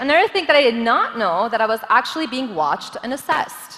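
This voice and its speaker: Over noticeable background noise, a woman talks loudly at a very fast pace in an animated tone. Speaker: government official, forum speaker. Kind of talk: conference talk.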